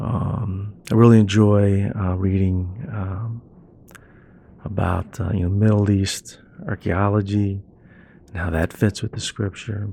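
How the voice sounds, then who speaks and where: In an American accent, a man speaks fairly slowly with long, frequent pauses, his fairly low, somewhat breathy voice dark and mellow in tone and his intonation fairly even. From West Virginia. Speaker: church member, NASA employee. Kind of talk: testimony.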